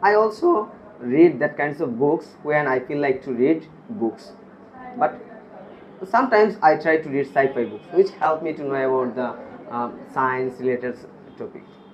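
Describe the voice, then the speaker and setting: Against noticeable background noise, a man with a fairly high voice speaks at a moderate pace with lively intonation. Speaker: IELTS test candidate. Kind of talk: speaking exam interview. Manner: hesitant, many pauses and repetitions; some mumbling.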